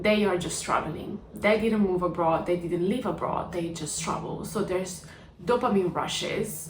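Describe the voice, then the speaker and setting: With an Italian accent, a woman talks at a moderate pace and fairly low pitch with fairly even intonation, amid noticeable background noise and audible room echo. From Italy. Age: 20s. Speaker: vlogger. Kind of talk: personal vlog.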